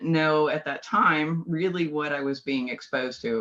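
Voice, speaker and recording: Noticeable background noise sits behind a woman with an American accent whose voice is very deep and low. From California. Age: 50s. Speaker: biofeedback practitioner. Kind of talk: interview.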